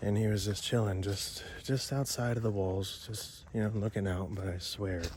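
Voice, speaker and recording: Quiet and somewhat breathy, a man talks at a moderate pace with fairly even intonation amid audible room echo. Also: fairly low pitch for a man, hardly any pauses. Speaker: paranormal explorer vlogger. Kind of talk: vlog narration. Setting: outdoors in the woods. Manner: speaking quietly.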